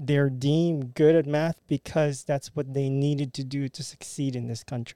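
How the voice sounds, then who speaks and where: Recorded with a dry, close sound and no echo, a man with a Filipino accent speaks in a dark, mellow tone, his pitch fairly high with ordinary variation. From Philippines. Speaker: podcast guest, immigrant with engineering background. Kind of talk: casual discussion podcast.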